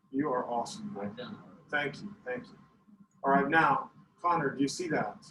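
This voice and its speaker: This man talks with lively intonation. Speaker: math teacher. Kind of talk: classroom lesson. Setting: classroom. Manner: loud; animated.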